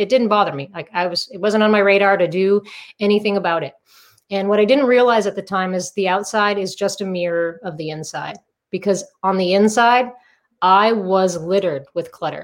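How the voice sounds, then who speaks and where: With an American accent, a woman has an unremarkable speaking voice at a medium pitch with ordinary pitch variation. She talks at a fairly quick pace in a very clean recording with a silent background. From Massachusetts, US. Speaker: author and decluttering coach. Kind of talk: interview.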